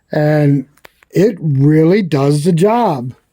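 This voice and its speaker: The voice carries a dark, mellow tone and lively intonation. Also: man. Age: 60s. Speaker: outdoor channel host, welder. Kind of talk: product review. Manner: casual, conversational.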